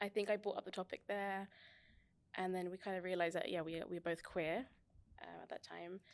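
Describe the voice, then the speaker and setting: With a British accent, a woman at a medium pitch talks at a fairly quick pace in a monotone, flat intonation, broken by long, frequent pauses. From England, West London. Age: 30s. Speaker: physiotherapist. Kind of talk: casual interview chat.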